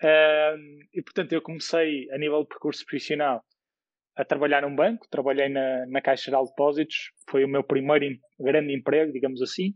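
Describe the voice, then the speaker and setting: At a moderate pace, a man with a fairly high pitch and a normal speaking voice talks with fairly even intonation. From Portugal, Porto. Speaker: tech startup CEO. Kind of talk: podcast interview.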